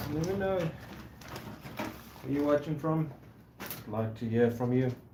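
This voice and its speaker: A man speaks at a very slow pace in a fairly high pitch, with noticeable background noise behind him. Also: ordinary pitch variation. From South Africa. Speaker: woodworker. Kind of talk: live stream workshop chat. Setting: workshop.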